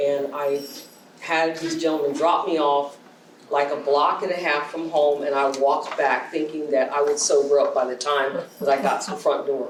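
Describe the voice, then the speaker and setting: A woman with a very deep, low voice speaks in a flat monotone. There is audible room echo and noticeable background noise. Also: moderate pace. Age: 60s. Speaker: poet. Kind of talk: audience Q&A conversation. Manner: hesitant, with many fillers.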